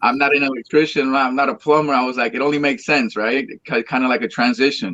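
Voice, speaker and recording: With a bright, sharp tone and medium pitch, a man speaks at a very fast pace with hardly any pauses and ordinary pitch variation. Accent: Spanish. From Colombia (Cali). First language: Spanish. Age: 30s. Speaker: salsa singer. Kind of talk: interview. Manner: halting.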